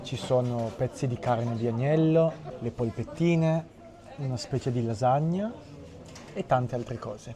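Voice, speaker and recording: Against noticeable background noise, a man at medium pitch speaks fairly slowly with ordinary pitch variation and long, frequent pauses. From Italy. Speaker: Italian teacher, vlogger. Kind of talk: travel vlog narration and street interview.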